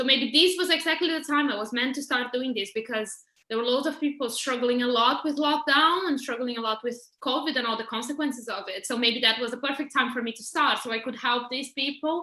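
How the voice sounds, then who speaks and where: A woman speaks in a raised, projected voice with a bright, sharp tone and a high pitch. Her pace is fairly quick, with ordinary pitch variation. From Brazil, Porto Alegre. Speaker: holistic therapist. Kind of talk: interview.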